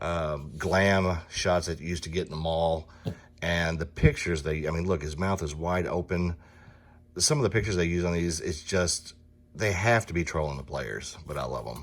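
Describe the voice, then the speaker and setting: A man with a Southern US accent speaks at a moderate pace in a very deep, low pitch with vocal fry. His pitch varies in an ordinary way, and the recording is very clean with a silent background. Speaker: sports card collector, box break host. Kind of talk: casual card-opening commentary. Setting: card and gaming shop.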